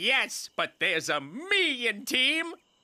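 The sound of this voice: This is a cartoonish character voice with a fairly high pitch. Its pitch swings very widely. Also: very slow pace.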